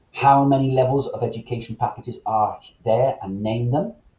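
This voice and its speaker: A man is talking at a medium pitch. His voice is somewhat breathy. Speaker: MLM presenter. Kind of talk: recorded sales presentation. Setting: recorded online meeting. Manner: fast.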